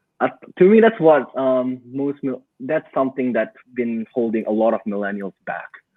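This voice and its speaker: A man speaks at a moderate pace with a non-native accent. His pitch sits in the middle range and moves with ordinary variation. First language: not English. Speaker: digital marketing entrepreneur. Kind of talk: podcast interview. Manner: halting.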